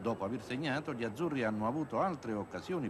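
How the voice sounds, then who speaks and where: A man talks at a very fast pace at a medium pitch, his voice making very wide pitch swings. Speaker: sports commentator. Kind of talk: 1980s TV football highlights commentary, voiced over match footage. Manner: fluent, polished journalistic delivery.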